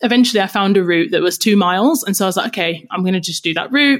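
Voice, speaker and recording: A woman speaks in an energetic tone with ordinary pitch variation. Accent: British. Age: 30s. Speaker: podcast host and personal trainer. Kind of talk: casual chat.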